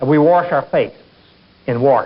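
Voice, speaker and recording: A man with an Appalachian accent speaks with ordinary pitch variation. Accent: soft Appalachian. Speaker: scholar of Appalachian speech. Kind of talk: documentary interview answer.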